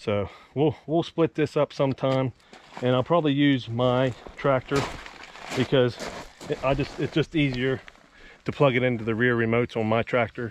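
With light background noise and a dry sound with no echo, a man speaks at a moderate pace with fairly even intonation. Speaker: farmer vlogger. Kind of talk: casual vlog chat. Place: farm machine. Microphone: phone near.

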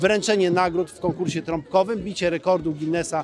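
Over light background noise, a man speaks at a fairly quick pace in a high pitch, with a dry sound and no echo. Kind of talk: interview answer. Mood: upbeat, welcoming. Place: street. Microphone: handheld.

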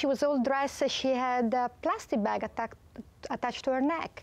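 A woman speaks at a high pitch and a moderate pace. Her pitch variation is ordinary. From Italy. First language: Italian. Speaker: marine biologist. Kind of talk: TV talk show interview. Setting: TV studio. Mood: earnest storytelling. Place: studio.

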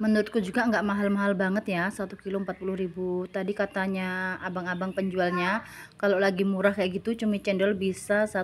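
A woman's medium-pitched voice, fairly quick and flat in a monotone. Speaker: cooking and eating vlogger. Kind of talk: voiceover narration for a cooking and eating vlog. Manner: casual, chatty.

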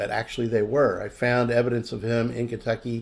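The man's delivery keeps to a moderate pace. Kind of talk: tutorial. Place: home room. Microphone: webcam.

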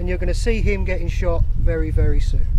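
There is noticeable background noise around this man, whose voice sounds dry with no echo. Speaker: airsoft video host. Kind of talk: video presenting. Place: forest.

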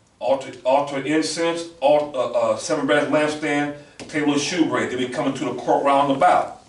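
A man with a fairly high pitch speaks at a moderate pace in monotone, flat intonation, with noticeable background noise. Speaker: class moderator and religious lecturer. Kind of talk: religious lecture. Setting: classroom with audience. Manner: formal.

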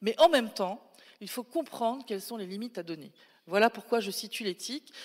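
A woman at a medium pitch talks at a very fast pace with lively intonation. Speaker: AI professor and researcher. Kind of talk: conference talk. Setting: stage with audience.

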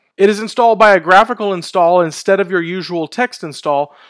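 Against a quiet background, a man speaks in a high pitch with ordinary pitch variation. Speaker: tech video host. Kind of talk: tech commentary. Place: home room. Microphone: headset.

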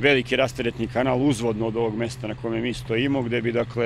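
Monotone and flat, the voice sounds dry with no echo over light background noise. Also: man. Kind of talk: interview answer. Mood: calm, matter-of-fact. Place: open country. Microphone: handheld.

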